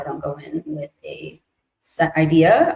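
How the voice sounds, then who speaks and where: This woman's voice is very deep and low. It is somewhat breathy. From US-Mexico border region. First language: Spanish. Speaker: multidisciplinary artist. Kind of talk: casual chat. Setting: live stream.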